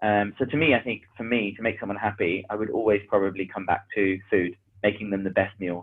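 With a London accent, a man talks at a fairly quick pace in a fairly low pitch, his intonation fairly even. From London (Hackney). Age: 30s. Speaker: business mentor and operations manager. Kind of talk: casual chat.

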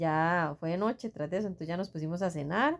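This woman has a plain, everyday voice with a fairly low pitch. She speaks at a fairly quick pace with ordinary pitch variation. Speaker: podcast co-host, mother. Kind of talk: casual chat.

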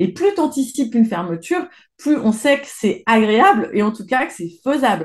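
A woman with a fairly high voice speaks at a moderate pace, her loudness swinging widely and her pitch rising and falling over a very wide range. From France, Isère and Savoie (Alps). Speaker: environmental journalist. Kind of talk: interview. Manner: hesitant with fillers.

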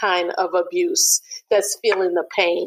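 Someone with an American accent talks at a fairly slow pace with very wide pitch swings, in a dry, close sound with no echo. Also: woman. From mixed Gabonese and American family. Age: 40s. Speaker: global health and youth development professional. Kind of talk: interview conversation.

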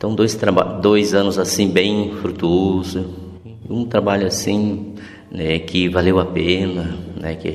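Very slow, monotone speech from a man with a very deep, low voice, amid audible room echo and noticeable background noise. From Mato Grosso do Sul, Brazil. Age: 50s. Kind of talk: interview testimony.

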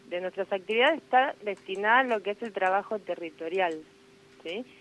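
A woman talks in an unremarkable speaking voice. Her pitch is medium, with ordinary variation. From Buenos Aires, Argentina. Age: 30s. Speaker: nurse. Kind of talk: interview.

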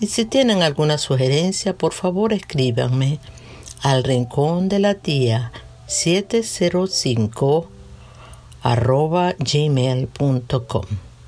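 A woman speaks very slowly in a very deep, low voice with a warm, calm tone, very wide pitch swings and very even loudness. Music plays in the background. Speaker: podcast host and devotional reader. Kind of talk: gentle reflective reading of a children's story, then a prayer. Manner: slow, warm and tender, storyteller's pace; calm, reverent, measured.

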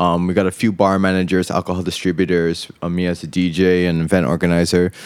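A man speaks with a very deep, low pitch on a very clean recording with a silent background. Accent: American. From USA, raised partly in Indonesia. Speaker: DJ and event coordinator. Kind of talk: casual chat. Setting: outdoors on a rooftop.

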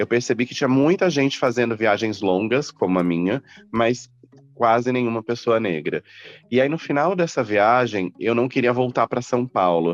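A man with an ordinary speaking voice uses lively intonation at very even loudness, in a dry, close sound with no echo. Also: medium pitch for a man, moderate pace. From Mato Grosso do Sul, Brazil (Campo Grande). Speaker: journalist and travel entrepreneur. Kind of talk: interview.

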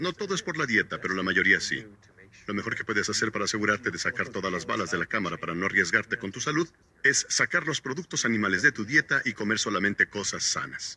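A man's bright, sharp voice with very wide pitch swings at a very fast pace, recorded dry and close with no echo. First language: English (speaking Spanish). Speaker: physician and diabetes researcher. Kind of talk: documentary interview.

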